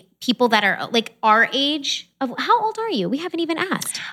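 A woman with a high pitch uses a raised, projected voice. She moves at a moderate pace with very wide pitch swings. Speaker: podcast host.

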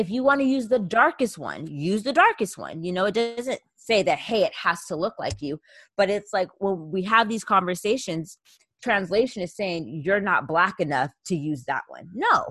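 This is a woman with a normal speaking voice at medium pitch, speaking at a moderate pace. Her intonation is lively, her loudness swings widely, and the background is quiet. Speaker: podcast co-host. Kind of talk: casual chat.

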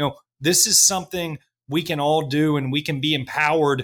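Fairly even intonation at a moderate pace, with an American accent. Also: man. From Kentucky, US. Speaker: agtech company founder and CEO. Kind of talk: interview conversation. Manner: halting with many fillers and repeats.

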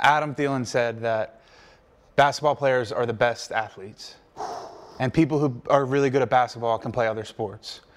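This man has a normal speaking voice and an American accent, with medium pitch, fairly even intonation and a moderate pace. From US Mid-Atlantic, Wilmington, Delaware. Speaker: pro football player. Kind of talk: casual interview chat.

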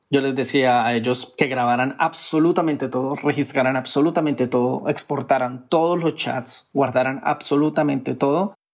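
Speaking with fairly even intonation, a man keeps to a moderate pace. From Colombia, Cúcuta (Venezuelan border). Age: 30s. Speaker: traveler sharing personal story. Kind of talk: personal testimony.

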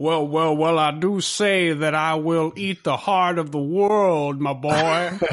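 A man's put-on character voice, fairly high pitched, at a very slow pace with hardly any pauses, over light background noise. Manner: menacing, bombastic.

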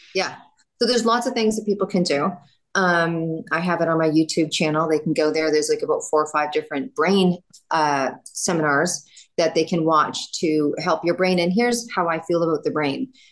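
A woman talks at a moderate speed, her pitch varying in an ordinary way. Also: fairly low pitch for a woman. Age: 50s. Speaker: wellness entrepreneur. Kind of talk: casual interview chat. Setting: video call. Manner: animated.

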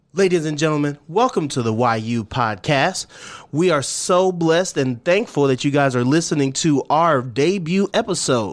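A man with an American accent sounds animated, his intonation lively, on a very clean recording with a silent background. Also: fairly high pitch for a man, moderate pace. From US military family; born Twentynine Palms, California, raised partly in Louisiana. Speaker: podcast host. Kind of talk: casual chat.

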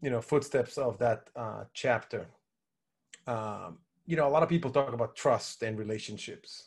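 Lively intonation marks this man's speech. He talks at a moderate pace in a somewhat breathy voice. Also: quiet background. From Israel. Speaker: business relationship consultant. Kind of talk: interview. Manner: frequent fillers and hesitations.

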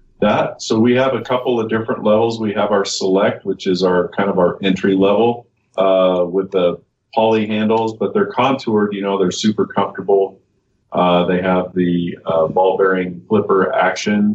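A man's plain, everyday voice at a fairly low pitch, with fairly even intonation and a moderate pace. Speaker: knife company employee. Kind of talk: casual interview.

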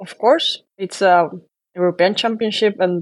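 In a Spanish accent, a woman speaks at a medium pitch with ordinary pitch variation. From Spain. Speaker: professional handball player. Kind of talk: interview.

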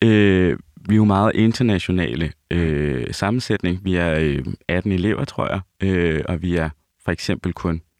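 A man speaks at a fairly slow pace in a very deep, low voice with ordinary pitch variation, the sound dry and close with no echo. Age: 30s. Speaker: opera singer. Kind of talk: casual chat.

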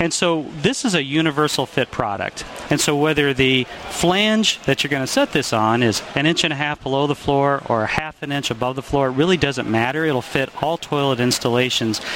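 A man speaks at a fairly quick pace in a fairly high pitch. Noticeable background noise runs under his voice. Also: ordinary pitch variation. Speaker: product expert. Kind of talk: product interview. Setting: trade show floor.

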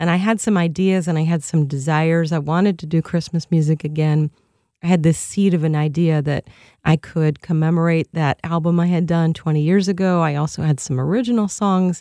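Woman's dark, mellow voice with a fairly low pitch, fairly even intonation, very even loudness and a fairly quick pace, dry and close with no echo on a very clean recording with a silent background. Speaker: violinist and speaker. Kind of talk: interview conversation. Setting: studio. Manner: gentle.

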